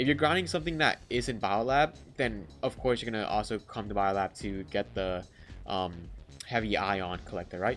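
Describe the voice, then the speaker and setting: Music plays in the background. A man with a fairly low pitch speaks with very wide pitch swings. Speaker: gaming youtuber. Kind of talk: tutorial. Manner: fast; casual.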